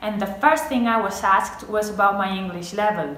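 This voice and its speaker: A woman speaks at a moderate pace. Room echo is audible, and there is noticeable background noise. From Spain. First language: Spanish. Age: 20s. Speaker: medical student. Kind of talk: personal testimonial to camera.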